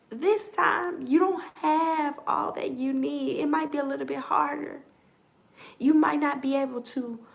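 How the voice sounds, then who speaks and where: The voice is quiet and animated in tone, moving at a moderate pace. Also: woman. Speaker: tarot reader. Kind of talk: collective tarot reading. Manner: quiet, holding back.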